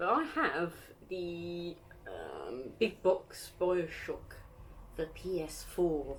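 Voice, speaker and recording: Over noticeable background noise, a woman speaks at a very slow pace with big swings in loudness. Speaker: gaming YouTuber. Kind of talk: casual chat. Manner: hesitant, many fillers.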